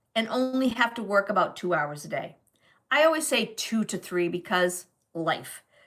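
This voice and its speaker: A woman speaks slowly, at a fairly slow pace, in an American accent. Her tone is bright and sharp, with lively intonation. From New England, US. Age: 60s. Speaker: online business coach. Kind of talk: live stream talk. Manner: casual, hesitant with fillers.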